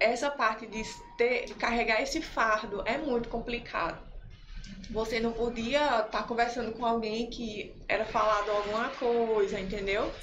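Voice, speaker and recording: A woman speaks at a fairly slow pace with a fairly high pitch and fairly even intonation. Music plays in the background, and there is audible room echo. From Recife, Pernambuco. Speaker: clothing shop owner. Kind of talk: testimony in a casual interview.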